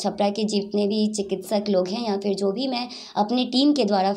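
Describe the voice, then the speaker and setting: A woman talks at a moderate pace, her pitch medium. She has a plain, everyday voice with ordinary pitch variation. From Bihar, Saran (Chapra); Bihar. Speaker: weightlifter and yoga champion; yoga instructor. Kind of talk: interview. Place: home room. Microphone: handheld.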